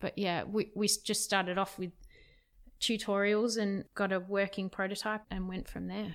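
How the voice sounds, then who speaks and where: Someone with an Australian accent speaks at a moderate pace with monotone, flat intonation. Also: woman, medium pitch for a woman. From Perth, Western Australia. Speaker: tech company CTO. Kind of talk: casual interview.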